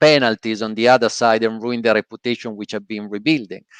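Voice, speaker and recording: A man with an Italian accent and fairly even intonation, in a dry, close sound with no echo. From Italy. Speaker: podcast host. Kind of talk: casual chat. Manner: halting, many fillers.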